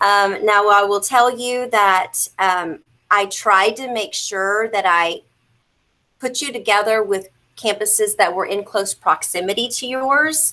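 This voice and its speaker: A woman's medium-pitched voice, bright and sharp in tone, with ordinary pitch variation at a fairly slow pace. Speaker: school district mentoring program coordinator. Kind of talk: virtual work meeting presentation.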